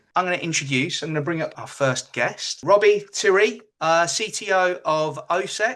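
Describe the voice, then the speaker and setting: A man's high, bright, sharp voice, raised and projected, upbeat in tone, at a moderate pace. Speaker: webinar host. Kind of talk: webinar hosting.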